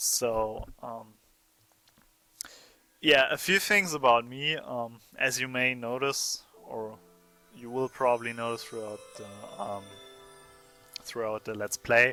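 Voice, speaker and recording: Over music in the background, a man with a German accent speaks at a very slow pace with long, frequent pauses. His pitch is medium with ordinary variation, and his loudness swings widely. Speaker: let's play gamer. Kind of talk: game commentary.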